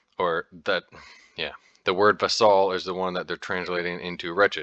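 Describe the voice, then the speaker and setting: A man with an American accent has a bright, sharp tone, heard with a dry, close sound with no echo over a quiet background. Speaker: podcaster discussing Norse texts. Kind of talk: casual monologue. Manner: halting, many false starts.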